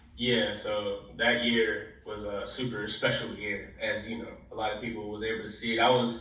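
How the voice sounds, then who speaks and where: A man's American-accented speech at a moderate pace with hardly any pauses, plus audible room echo and noticeable background noise. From Pittsburgh, Pennsylvania. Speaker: college football player. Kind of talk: podcast interview. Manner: casual, full of fillers.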